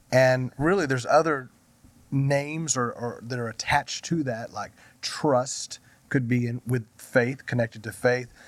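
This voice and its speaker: Speaking in a plain, everyday voice, a man keeps a medium pitch, a fairly slow pace and fairly even intonation. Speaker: pastor. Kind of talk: casual chat.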